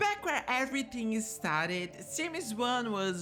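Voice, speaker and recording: Music plays in the background as a woman speaks at a fairly slow pace with a non-native accent. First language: not English. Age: 20s. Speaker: gaming YouTuber. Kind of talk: scripted video narration.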